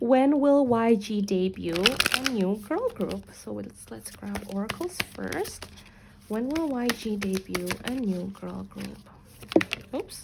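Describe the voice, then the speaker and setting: A woman talks at a very slow pace. Noticeable background noise is present. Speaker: tarot reader. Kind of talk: tarot reading.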